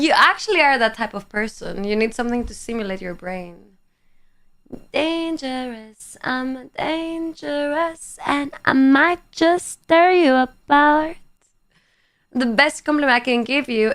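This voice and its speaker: A woman talks at a fairly slow pace with a high pitch. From Greece. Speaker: live streamer. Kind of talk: casual chat reading viewer comments. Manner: animated.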